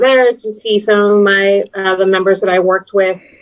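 A woman's normal speaking voice at a medium pitch, with an American accent, a moderate pace, fairly even intonation and a dry, close sound with no echo. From Texas, US-Mexico border. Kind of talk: casual chat. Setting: video call.

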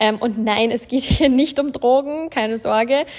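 A woman speaks with fairly even intonation. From Bavaria, Germany (Landshut). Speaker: podcast host, self-employed influencer. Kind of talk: casual solo podcast monologue.

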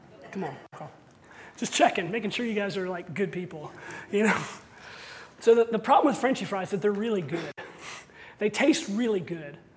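Speech at a fairly quick pace breaks into long, frequent pauses over noticeable background noise. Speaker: pastor. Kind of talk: sermon.

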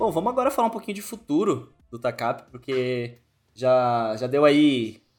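A man's fairly high voice at a fairly slow pace, with very wide pitch swings and music in the background. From Brazil, São Paulo state interior (Jundiaí). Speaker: podcast host. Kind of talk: casual interview.

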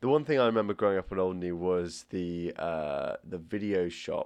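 An unremarkable speaking voice from a man, fairly low in pitch, at a moderate pace over a quiet background. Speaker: podcast host. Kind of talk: casual chat. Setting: studio.

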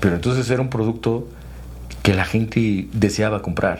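Audible room echo surrounds a man speaking in a central Mexican accent. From Mexico, Tlaxcala. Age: 30s. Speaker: real estate developer and construction entrepreneur. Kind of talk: interview conversation. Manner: hesitant with fillers and repetitions.

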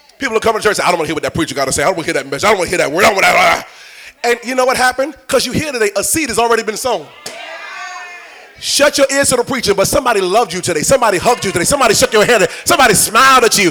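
Over noticeable background noise, a man with a high pitch speaks very fast in a raised, projected voice, his tone playful and animated and his intonation lively. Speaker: preacher. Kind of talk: sermon. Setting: church with congregation. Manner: animated, rousing call-and-response, urging the congregation to shout back; conversational and playful, with repeated phrases and crowd-teasing asides.

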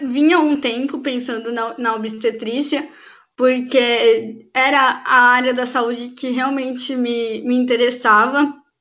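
The speaker is a woman with a high pitch. She talks at a very slow pace. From Brazil, Campinas, São Paulo state. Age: 20s. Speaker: obstetrics student. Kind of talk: interview.

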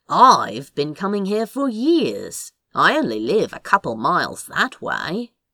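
The pace is fairly slow. A put-on character voice carries a fairly high pitch. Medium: read story. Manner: dry, sarcastic.

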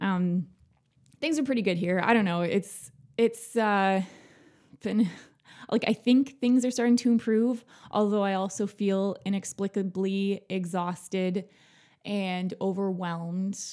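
In a very clean recording with a silent background, a woman talks at a fairly slow pace with long, frequent pauses. Her medium pitch varies in an ordinary way, and her tone is dark and mellow. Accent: Canadian. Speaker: podcast host. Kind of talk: casual interview. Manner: warm, chatty.

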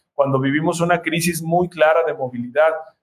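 A man talks with a fairly high pitch. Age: 30s. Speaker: activist and political candidate. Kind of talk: interview. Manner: halting, repeats words.

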